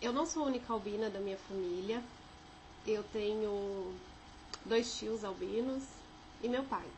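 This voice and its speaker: A woman with a São Paulo accent, fairly high pitch, ordinary pitch variation and a fairly slow pace, with audible room echo. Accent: São Paulo (paulistano). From Brazil, São José dos Campos (São Paulo state interior). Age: 30s. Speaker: vlogger sharing life experience. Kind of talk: personal testimony. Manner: casual, with filler hesitations.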